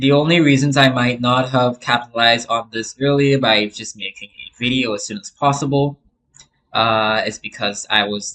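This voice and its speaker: A man talks at a medium pitch and a moderate pace, in a bright, sharp tone. His intonation is fairly even, though his loudness swings widely. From Trinidad, north (Port of Spain area). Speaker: YouTube reaction commentator. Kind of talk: casual reaction commentary. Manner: hesitant, many fillers and restarts.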